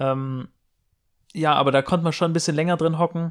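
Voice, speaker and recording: In a dry, close recording with no echo, a man speaks with fairly even intonation. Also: very clean recording, silent background. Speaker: podcast co-host. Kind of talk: casual chat. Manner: loud.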